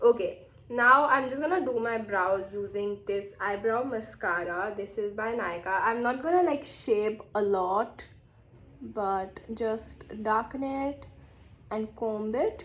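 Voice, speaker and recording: Speaking very slowly in an Indian accent, a woman uses a fairly high pitch with ordinary pitch variation. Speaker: beauty vlogger. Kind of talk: makeup tutorial, casual. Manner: casual, hesitant with fillers.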